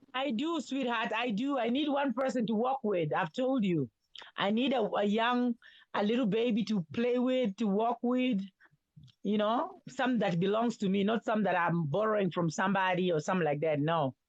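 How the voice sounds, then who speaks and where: In a plain, everyday voice, a woman speaks at a moderate pace with a fairly high pitch and lively intonation. Her loudness stays very even. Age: 60s. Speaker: caller on live stream. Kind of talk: casual chat.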